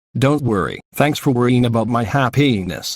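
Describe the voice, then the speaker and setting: Putting on a growling character voice at a medium pitch, a man speaks at a moderate pace. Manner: flat, almost emotionless.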